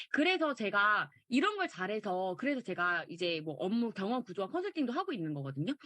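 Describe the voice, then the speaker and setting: Hardly any pauses break the speech, which runs at a fairly quick pace. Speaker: online course instructor. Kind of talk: lecture. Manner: fast.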